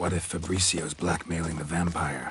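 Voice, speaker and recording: Using a put-on character voice, a man talks at a moderate pace in a very deep, low pitch with monotone, flat intonation. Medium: machinima. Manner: terse, clipped.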